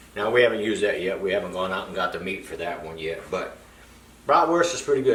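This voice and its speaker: A man's medium-pitched voice with ordinary pitch variation, plus noticeable background noise and audible room echo. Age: 60s. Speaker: product reviewer, home sausage maker. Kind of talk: casual product review video. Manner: casual, conversational with fillers.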